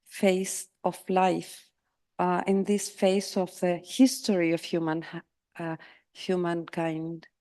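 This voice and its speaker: Over a quiet background, a woman speaks at a very slow pace with a medium pitch, a dark, mellow tone and fairly even intonation. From Argentina. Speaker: psychotherapist, invited conference speaker. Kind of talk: conference Q&A. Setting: conference hall with audience and interpretation. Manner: halting, with repetitions.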